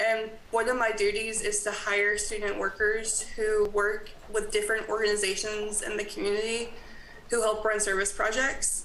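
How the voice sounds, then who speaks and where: A woman at a fairly high pitch with an American accent, flat, monotone intonation and a moderate pace, with audible room echo and noticeable background noise. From US South. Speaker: college graduate assistant. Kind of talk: presentation at town board meeting.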